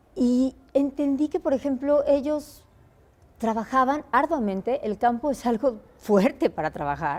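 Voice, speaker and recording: A woman's high-pitched voice at a fairly slow pace. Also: lively intonation. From Mexico. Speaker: singer. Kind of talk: interview answer.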